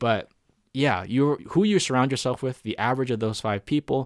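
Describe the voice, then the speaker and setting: With a normal speaking voice and ordinary pitch variation, a man talks at a fairly quick pace in a very clean, dry, close recording with a silent background and no echo. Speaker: podcast host. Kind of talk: solo podcast monologue. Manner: casual, filler-heavy.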